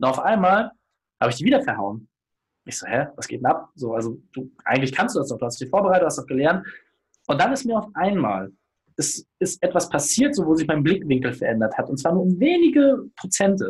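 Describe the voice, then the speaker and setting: A man talks at a fairly quick pace in a high voice with very wide pitch swings. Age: 30s. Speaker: business consultant and podcaster. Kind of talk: casual interview.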